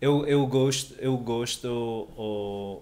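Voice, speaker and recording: With a Spanish accent, a man talks using ordinary pitch variation. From Canary Islands, Spain. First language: Spanish (speaking Portuguese). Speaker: language learner; podcast guest. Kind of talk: casual chat. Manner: halting. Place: home room. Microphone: studio mic.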